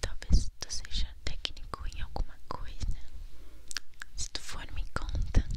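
A woman's soft-spoken whisper at a very slow pace. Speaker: ASMR creator. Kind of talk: ASMR whisper chat. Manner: soft close whisper into binaural mic. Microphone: studio mic.

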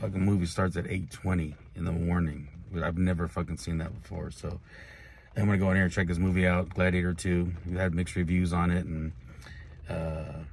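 A man talks at a fairly quick pace with a very deep, low pitch and fairly even intonation. The sound is dry with no echo, and light background noise is present. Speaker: wrestling vlogger. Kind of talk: casual vlog chat. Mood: relaxed, mildly amused. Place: car. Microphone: phone near.

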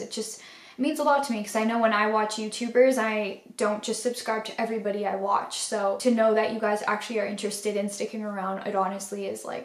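With audible room echo, a woman speaks at a fairly quick pace in a monotone, flat intonation. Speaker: art vlogger. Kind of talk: casual vlog chat. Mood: grateful, heartfelt. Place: home room.

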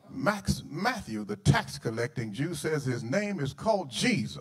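Using very wide pitch swings and vocal fry, a man speaks at a fairly slow pace. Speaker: guest preacher. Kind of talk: sermon. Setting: church. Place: church. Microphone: handheld.

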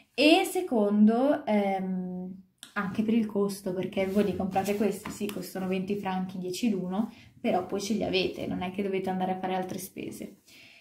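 A woman with a somewhat breathy voice speaks at a moderate pace with ordinary pitch variation, and audible room echo is present. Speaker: vlogger. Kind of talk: casual vlog chat. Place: home room. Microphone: phone near.

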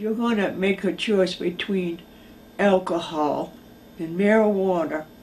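Over noticeable background noise, the speech moves at a very slow pace with fairly even intonation. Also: woman. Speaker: mother of a jailed woman, former correctional officer. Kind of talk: interview testimony. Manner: reading aloud a letter.

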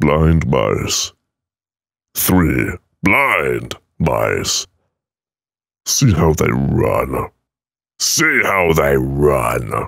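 In a put-on character voice, a man speaks very slowly with a very deep, low, raspy tone, very even loudness, and long, frequent pauses. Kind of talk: dramatic nursery rhyme reading. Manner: over-dramatic, intense.

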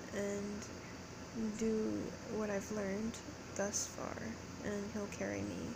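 A woman speaks in a weary tone. Loud background noise sits behind her voice. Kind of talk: casual vlog chat. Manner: low, weary late-night voice. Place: home room. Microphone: phone near.

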